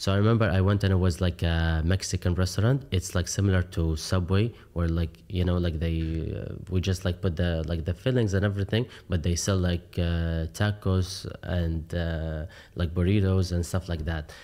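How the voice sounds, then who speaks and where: With an Arabic accent, a man talks at a moderate pace in a very deep, low pitch and a dark, mellow tone, his intonation fairly even on a very clean recording with a silent background. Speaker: coffee shop owner. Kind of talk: podcast interview. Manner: frequent fillers, hesitant.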